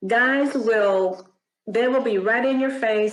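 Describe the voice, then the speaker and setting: A woman speaks at a fairly high pitch with ordinary pitch variation. It is a plain, everyday voice. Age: 60s. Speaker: retired professional, mentor with doctorate. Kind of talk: interview testimony.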